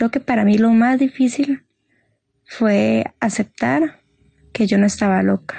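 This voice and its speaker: A woman speaks very slowly in a dark, mellow, somewhat breathy voice at a fairly high pitch, with long, frequent pauses. Her loudness stays very even, and the sound is dry and close with no echo. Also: ordinary pitch variation. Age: 20s. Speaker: guest sharing mental health story. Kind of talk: personal testimony.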